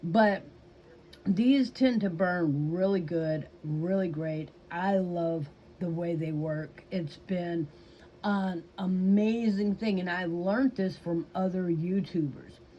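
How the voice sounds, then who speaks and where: Speaking very slowly in a Southern US accent, the voice is somewhat breathy with a dark, mellow tone and ordinary pitch variation. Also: woman, fairly low pitch for a woman. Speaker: YouTuber. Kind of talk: casual chat. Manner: hesitant, with fillers.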